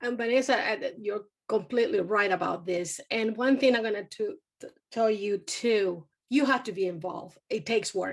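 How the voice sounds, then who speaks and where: A woman with a Spanish accent, fairly high in pitch, at a moderate pace with ordinary pitch variation. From Venezuela. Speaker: university community engagement director. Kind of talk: panel discussion.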